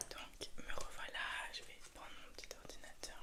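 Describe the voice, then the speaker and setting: Behind a fairly slow whisper, background noise is noticeable. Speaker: ASMR creator doing a sleep-clinic roleplay. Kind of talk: ASMR roleplay, clinic receptionist/practitioner talking to the listener. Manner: whispered, soft-spoken.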